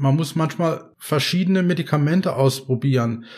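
On a very clean recording with a silent background, a man speaks at a moderate pace in a fairly high, somewhat breathy voice with ordinary pitch variation. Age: 50s. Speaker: patient advocate, head of an epilepsy self-help association. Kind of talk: casual interview. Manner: hesitant, with many filler sounds.

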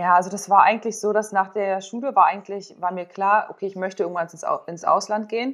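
Her intonation stays fairly even at a medium pitch. This woman keeps to a moderate speed. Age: 30s. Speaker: former volleyball player, sports psychologist and yoga teacher. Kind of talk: casual interview.

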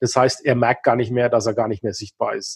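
Somewhat breathy speech at a very fast pace. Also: man. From Upper Franconia, northern Bavaria (Kulmbach). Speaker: business consultant. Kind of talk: interview.

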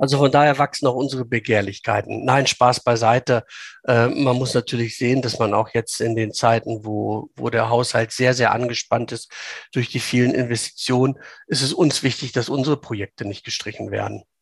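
A man speaks with vocal fry. His intonation is monotone and flat. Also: medium pitch for a man, moderate pace, dry, close sound with no echo, quiet background. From Lower Saxony, Hanover region. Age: 50s. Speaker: local politician. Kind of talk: interview. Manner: hesitant with many fillers.

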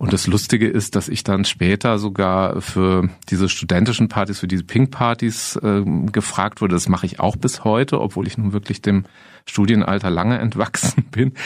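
Using a plain, everyday voice, a man talks at a moderate pace with a fairly low pitch. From Germany, Freiburg (Baden). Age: 50s. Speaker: counselor and former teacher. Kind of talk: interview.

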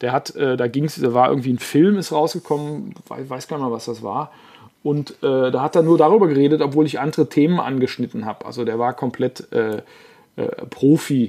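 Against a quiet background, a man with a dark, mellow tone speaks at a fairly high pitch and a moderate pace. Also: ordinary pitch variation. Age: 40s. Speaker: journalist and musician. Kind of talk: casual chat.

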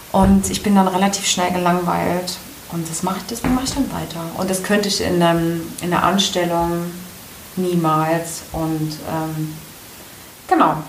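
Audible room echo and noticeable background noise surround a woman's voice. She speaks fairly slowly, in a fairly low pitch with fairly even intonation. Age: 30s. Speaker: solo entrepreneur. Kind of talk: interview.

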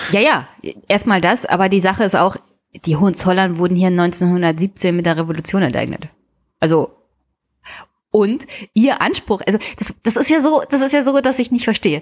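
The delivery moves at a moderate pace with lively intonation, very even loudness, and long, frequent pauses. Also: woman, medium pitch for a woman. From Brandenburg, Germany (Teltow-Fläming). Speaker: podcast co-host. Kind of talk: casual political discussion.

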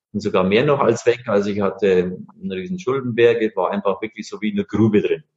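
With an ordinary speaking voice, a man talks at a fairly quick pace, medium in pitch and with lively intonation. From Bavaria, Bavarian Forest. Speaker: master engraver, entrepreneur. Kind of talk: interview.

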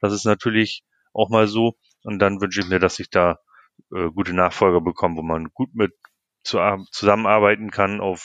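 A man speaks with a very deep, low pitch. The recording is dry and close, with no echo. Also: quiet background. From northern Germany, Lower Saxony. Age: 40s. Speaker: sports club chairman. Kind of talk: interview. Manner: hesitant, many filler sounds.

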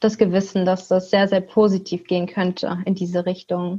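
A woman talks at a moderate pace in a somewhat breathy voice. The background is quiet. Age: 20s. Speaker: university student, youth activist. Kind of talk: casual panel discussion. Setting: video call from home.

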